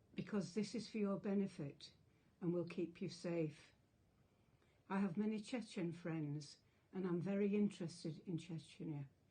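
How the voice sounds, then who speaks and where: Speaking at a moderate pace with an English accent, a woman has a fairly low pitch, a dark, mellow and somewhat breathy tone, fairly even intonation and long, frequent pauses. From England. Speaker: retired teacher. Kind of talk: public support message to camera.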